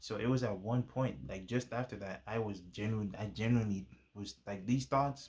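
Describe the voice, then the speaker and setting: On a very clean recording with a silent background, a man speaks with ordinary pitch variation. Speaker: YouTuber sharing faith testimony. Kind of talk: testimony. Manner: fast; casual, halting with fillers.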